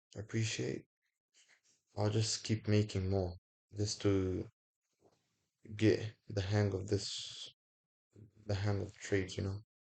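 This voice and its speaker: With a non-native accent, a man talks at a fairly slow pace with long, frequent pauses, his somewhat breathy, fairly low voice flat and monotone. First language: not English. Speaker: forex trader, video creator. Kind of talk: casual sign-off to viewers; screen-recorded trading tutorial. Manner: casual, informal; some halting and self-correcting.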